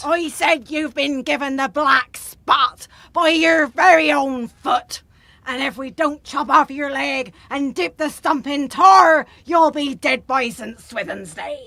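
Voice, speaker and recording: A high-pitched, put-on character voice speaks at a fairly slow pace on a very clean recording with a silent background. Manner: ominous, delivering grim news.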